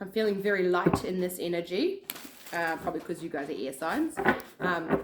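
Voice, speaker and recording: Noticeable background noise sits under speech delivered at a moderate tempo. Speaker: tarot card reader. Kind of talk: collective tarot reading. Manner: casual, filler-heavy.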